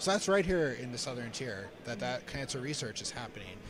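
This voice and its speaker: Someone talks very fast while noticeable background noise carries on behind. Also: man. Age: 40s. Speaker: cancer charity staff member. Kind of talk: live stream fundraiser talk.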